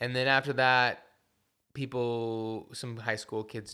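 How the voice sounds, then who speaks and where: Here is a man with an unremarkable speaking voice, talking at a fairly slow pace. His intonation stays fairly even in a very clean recording with a silent background. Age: 30s. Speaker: punk musician. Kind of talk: casual chat. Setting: studio.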